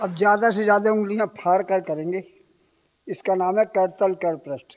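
A man speaks at a fairly slow pace in a high-pitched voice, his intonation fairly even. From India. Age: 80s+. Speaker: yoga instructor. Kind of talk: yoga class instruction. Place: stage. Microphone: handheld.

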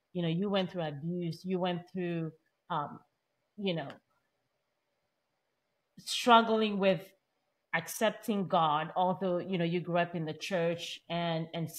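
Here a woman talks with a fairly low pitch. Her pace is fairly slow. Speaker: podcast host. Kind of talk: podcast interview questions. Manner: enthusiastic. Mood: gentle, empathetic. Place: home room. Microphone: studio mic.

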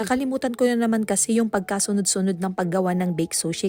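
The speaker here is a woman. She keeps her intonation fairly even. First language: Pangasinan (speaking Tagalog). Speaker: cooking vlogger. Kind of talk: cooking tutorial voice-over. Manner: halting.

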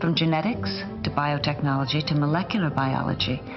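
A woman with a very deep, low pitch at a moderate pace, clear music playing behind her. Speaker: actress. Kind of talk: public service announcement, informative spokesperson read. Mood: calm, informative, encouraging. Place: studio. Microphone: lapel.

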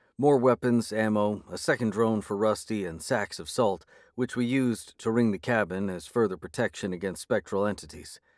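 A natural voice reading aloud

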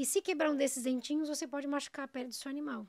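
A woman's high-pitched voice comes through over a quiet background. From São Paulo city, Brazil; Brazil. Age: 30s. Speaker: dog groomer; podcast guest. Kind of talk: casual interview. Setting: studio. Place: studio. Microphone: studio mic.

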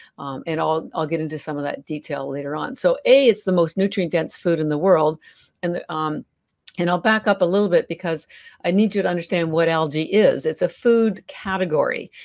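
A woman with a Canadian accent has an unremarkable speaking voice, fairly low in pitch with ordinary pitch variation. She talks at a fairly quick pace over a quiet background. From Canada. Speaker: health entrepreneur; podcast guest. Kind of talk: interview. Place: home room. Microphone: video call.

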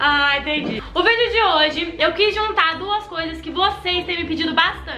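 Clear music plays in the background, and audible room echo surrounds a woman with an extremely high pitch. She speaks at a moderate pace with ordinary pitch variation and hardly any pauses. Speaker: channel host. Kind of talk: casual vlog chat. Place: home room.

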